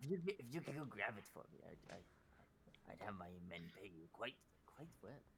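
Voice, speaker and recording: A put-on character voice sits low in pitch and moves at a fairly slow pace. Background noise is clearly audible. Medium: actual play. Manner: chatty, cheerfully wheedling.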